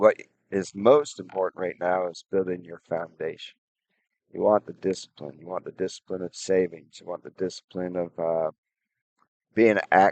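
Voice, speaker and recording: A man with a very deep, low voice speaks with fairly even intonation and big swings in loudness, the sound dry and close with no echo. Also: moderate pace. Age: 60s. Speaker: personal finance vlogger. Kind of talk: advice monologue. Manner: halting, many fillers.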